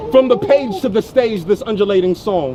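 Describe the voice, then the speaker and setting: Noticeable background noise accompanies a man with an American accent whose high-pitched voice moves at a fairly quick pace with lively intonation. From US Midwest, Ohio. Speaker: spoken word poet. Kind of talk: spoken word performance. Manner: rhythmic.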